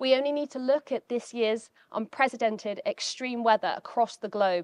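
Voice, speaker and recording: A woman with an unremarkable speaking voice talks at a moderate pace and a fairly high pitch, with ordinary pitch variation, in a dry sound with no echo and a quiet background. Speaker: climate scientist; keynote speaker. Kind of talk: keynote talk. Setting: stage with audience. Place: hall. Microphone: handheld.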